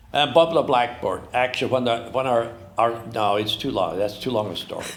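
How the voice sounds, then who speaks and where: With an American accent, a man speaks at medium pitch and a fairly quick pace. Noticeable background noise runs underneath. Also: ordinary pitch variation. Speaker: farmer and writer. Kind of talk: moderated conversation. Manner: halting.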